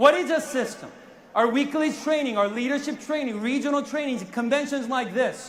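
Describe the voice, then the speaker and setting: With a Korean accent, the speaker uses an animated tone, ordinary pitch variation and a fairly quick pace. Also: man. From South Korea. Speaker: network marketing sales executive. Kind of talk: motivational speech. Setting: stage with audience.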